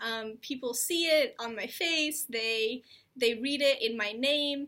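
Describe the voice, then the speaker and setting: Very slow speech in an American accent with ordinary pitch variation. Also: woman, high pitch for a woman. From United States, Indian immigrant family. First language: Telugu. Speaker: reproductive health video host. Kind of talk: personal vlog talk.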